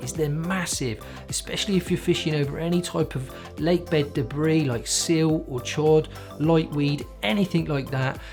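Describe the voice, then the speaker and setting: A man with a Cornish accent speaks at a moderate pace in a fairly high pitch, his intonation lively, with music playing in the background. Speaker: carp fishing bait presenter. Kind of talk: product explainer to camera.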